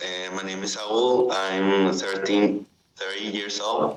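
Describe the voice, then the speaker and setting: Speaking at a very slow pace, a man has a fairly low pitch and monotone, flat intonation. His loudness swings a lot. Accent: Spanish. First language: Spanish. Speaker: student. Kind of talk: role-play job interview. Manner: halting.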